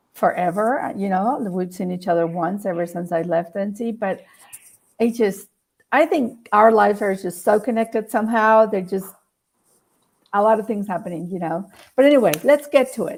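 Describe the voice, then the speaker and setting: On a very clean recording with a silent background, a woman talks at a moderate pace in a Spanish accent. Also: medium pitch for a woman, ordinary pitch variation. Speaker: talk show host. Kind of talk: casual interview chat. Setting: live stream.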